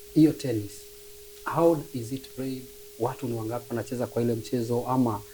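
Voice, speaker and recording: Over noticeable background noise, a man with a medium-pitched voice speaks fairly quickly in a fairly even tone, with long, frequent pauses. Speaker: sports talk show host. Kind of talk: casual interview.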